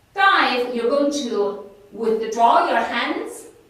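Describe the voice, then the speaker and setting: The speaker has a Chinese accent and talks very slowly. Noticeable background noise and audible room echo are present. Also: woman. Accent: non-native English, Chinese. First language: Mandarin. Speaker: fitness instructor. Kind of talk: exercise class instruction.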